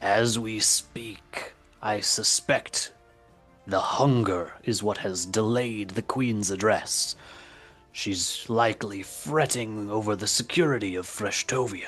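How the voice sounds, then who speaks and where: A man puts on a character voice, speaking at a fairly slow pace with fairly low pitch over faint background music. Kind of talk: old-fashioned fantasy speech. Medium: actual play. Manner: secretive, formal.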